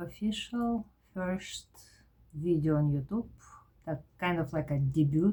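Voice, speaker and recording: Somewhat breathy and fairly low in pitch, a woman speaks with a strong Eastern European accent and a dark, mellow tone. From former Soviet Union. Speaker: vlogger. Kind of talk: personal vlog monologue. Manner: halting, with fillers.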